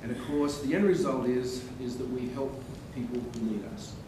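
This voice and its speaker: Audible room echo and noticeable background noise surround a man speaking at a moderate pace. He has an Australian accent, a medium pitch and ordinary pitch variation. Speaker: radiologist. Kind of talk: lecture. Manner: animated.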